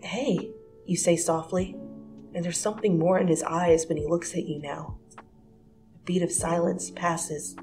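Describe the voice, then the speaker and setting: With music in the background, a woman speaks at a fairly slow pace in a fairly low pitch and a fairly even intonation. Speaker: fanfiction reader. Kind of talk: second-person romance fanfic dramatic reading.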